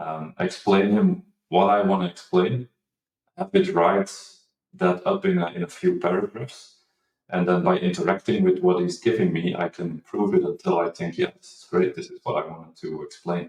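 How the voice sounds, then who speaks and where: A man speaks at a moderate pace with big swings in loudness. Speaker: marketing executive, former data engineer. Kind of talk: interview. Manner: halting, many fillers and repeats.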